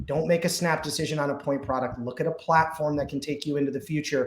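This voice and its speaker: Somewhat breathy, the speaker talks at a fairly quick pace with an American accent. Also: man. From US South, Georgia. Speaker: security vendor specialist. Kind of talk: live webinar panel discussion. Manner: fast; animated.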